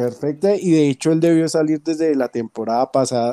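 The voice has a dark, mellow tone and ordinary pitch variation, recorded dry and close with no echo. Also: man. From Colombia. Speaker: football fan. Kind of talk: casual chat. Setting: online call.

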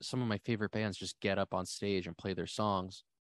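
Recorded with a dry, close sound, no echo and a quiet background, a man with an American accent speaks in a fairly low pitch with monotone, flat intonation. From New Jersey. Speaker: band musician. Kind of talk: casual interview.

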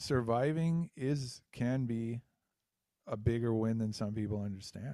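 In a dark, mellow tone, a man speaks at a fairly slow pace. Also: ordinary pitch variation. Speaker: podcast co-host, musician. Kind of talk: casual chat.

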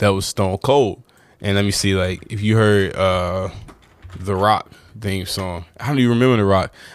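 A man with a fairly low pitch speaks in an unremarkable speaking voice at a moderate pace. His intonation is fairly even, and the recording is very clean with a silent background. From North Carolina. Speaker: podcast host. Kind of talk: casual solo chat.

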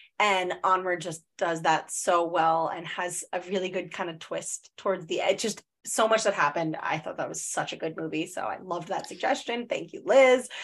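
With a normal speaking voice at a medium pitch, a woman speaks at a moderate pace with ordinary pitch variation on a very clean recording with a silent background. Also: hardly any pauses. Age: 30s. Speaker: podcast host, therapist and spiritual mentor. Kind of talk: casual chat.

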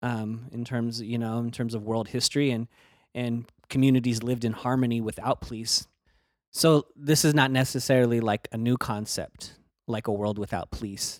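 A man with an American accent talks at a moderate pace and medium pitch in a normal speaking voice, his intonation fairly even. The sound is dry and close with no echo, on a very clean recording with a silent background. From Northern California (Bay Area). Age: 40s. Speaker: activist and criminal justice advocate. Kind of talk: podcast interview.

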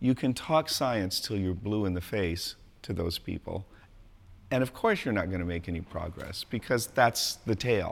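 In a General American accent, a man with an ordinary speaking voice and fairly low pitch uses lively intonation at a moderate pace on a very clean recording with a silent background. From US West Coast, San Diego. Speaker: philosophy professor. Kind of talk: interview.

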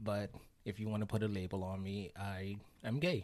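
In a slight West Indian accent, a man speaks at a fairly low pitch and a fairly slow pace. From West Indies. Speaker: hospital unit assistant. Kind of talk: casual interview chat. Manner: feminine-sounding speech.

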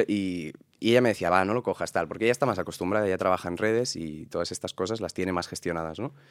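At a very fast pace, a man speaks with lively intonation in a very clean recording with a silent background. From Catalonia, Spain (Sant Boi de Llobregat). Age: 20s. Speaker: actor and content creator. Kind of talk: interview.

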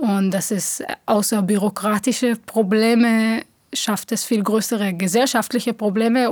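A woman with an Israeli accent speaks at a fairly slow pace with fairly even intonation. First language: Hebrew (speaking German). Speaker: theatre director. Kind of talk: interview.

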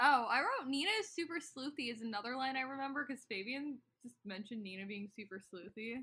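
A woman with an American accent talks very fast in a high, raised, projected voice, barely pausing. Her tone is bright and sharp, her intonation lively, and her loudness swings widely. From United States. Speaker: podcast co-host. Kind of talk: casual chat recapping a TV episode.

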